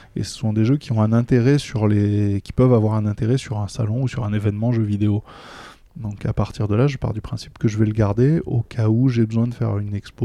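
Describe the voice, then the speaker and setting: A man speaks at a moderate pace with a medium pitch, a dark, mellow tone and fairly even intonation. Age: 40s. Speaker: gaming association volunteer. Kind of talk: casual interview chat. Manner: hesitant, repeats words.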